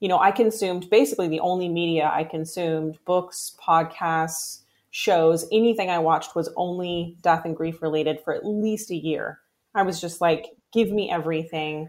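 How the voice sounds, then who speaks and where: A woman with an American accent speaks in a plain, everyday voice at a fairly low pitch. Her pace is moderate and her intonation fairly even. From US Pacific Northwest. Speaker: herbalist and herbal supplement founder. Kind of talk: interview conversation.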